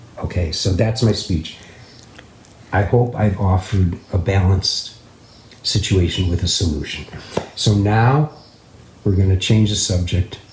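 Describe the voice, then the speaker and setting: Over noticeable background noise, a man with a fairly low pitch talks at a fairly slow pace, with ordinary pitch variation and long, frequent pauses. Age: 70s. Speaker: musician and live stream host. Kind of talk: casual live stream talk. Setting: live stream.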